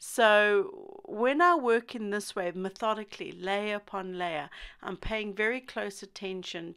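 A woman has an unremarkable speaking voice at a medium pitch with ordinary variation, speaking fairly slowly. The recording is very clean, with a silent background. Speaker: pastel artist. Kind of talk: tutorial. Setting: studio. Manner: informal, rambling, self-deprecating.

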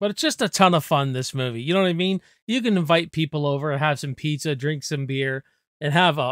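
Recorded dry with no echo against a quiet background, the voice moves at a fairly quick pace with ordinary pitch variation. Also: man. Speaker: movie reviewer. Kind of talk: casual movie discussion vlog. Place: home room. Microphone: studio mic.

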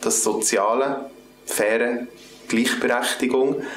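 Very slowly, a man with a Swiss German accent speaks over light background noise, with audible room echo. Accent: Swiss German (Uri). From Switzerland (canton Uri). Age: 20s. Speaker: political candidate. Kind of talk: campaign self-introduction. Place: office.

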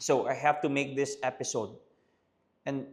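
A man is talking at a moderate pace. His pitch is medium. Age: 30s. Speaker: pastor and podcast host. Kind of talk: casual Taglish podcast monologue.

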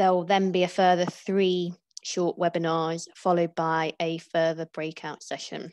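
A woman talks at a fairly slow pace in a monotone, flat intonation. Her pitch is fairly low, and the sound is dry with no echo. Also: quiet background. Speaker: webinar host. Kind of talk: webinar introduction. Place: home room. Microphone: earbuds.

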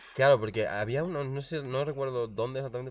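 Recorded very cleanly against a silent background, a man speaks fairly quickly at a medium pitch with ordinary pitch variation. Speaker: streaming interview host. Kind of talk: casual chat on a live stream. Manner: animated.

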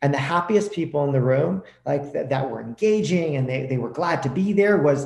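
Somewhat breathy with a dark, mellow tone, a man speaks at a fairly quick pace amid audible room echo. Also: quiet background. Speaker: podcast guest. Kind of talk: interview answer. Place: home room. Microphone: video call.

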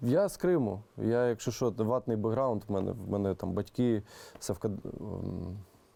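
In a Russian accent, a man speaks at a fairly slow pace with a fairly low pitch and a dark, mellow tone. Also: ordinary pitch variation. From Crimea, Kerch. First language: Russian (speaking Ukrainian). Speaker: music producer. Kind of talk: interview. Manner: halting.

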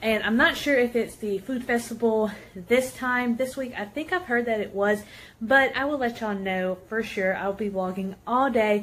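Her pace is moderate. The woman's pitch shifts in an ordinary way. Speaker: vlogger. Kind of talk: casual vlog chat. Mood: cheerful, excited. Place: home room. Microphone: phone near.

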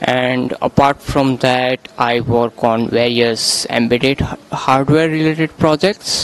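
A man at a very slow pace, with fairly even intonation and very even loudness, in a dry sound with no echo. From India. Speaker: software developer. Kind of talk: interview. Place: hall. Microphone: handheld.

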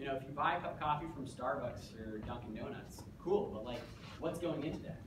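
The pace is fairly quick. Background noise is noticeable. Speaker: presenter. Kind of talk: lecture. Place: classroom. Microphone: camera far.

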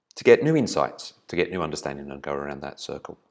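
Very fast speech from a man against a quiet background. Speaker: business trainer. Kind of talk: presentation. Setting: video recording. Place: home room. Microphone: webcam.

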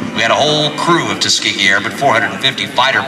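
A man talks fairly quickly while music plays clearly behind him. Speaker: airshow announcer. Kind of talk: commentary. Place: street. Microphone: pa.

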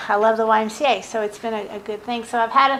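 A woman speaks at a fairly high pitch with a slight Southern US accent and fairly even intonation. Her tone is bright and sharp, and the room echo is audible. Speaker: consultant. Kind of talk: presentation.

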